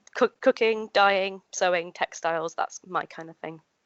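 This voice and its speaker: A woman speaks at a very slow pace in a Yorkshire accent. Her pitch rises and falls in an ordinary way. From Yorkshire, York. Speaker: living historian and re-enactor. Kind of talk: interview conversation. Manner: hesitant, many fillers.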